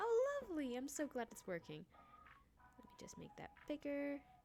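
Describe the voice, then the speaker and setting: A quiet woman with a high pitch speaks at a moderate pace, with very wide pitch swings, big swings in loudness, and long, frequent pauses. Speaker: streamer. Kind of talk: live game stream with reading aloud. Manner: hesitant, many fillers.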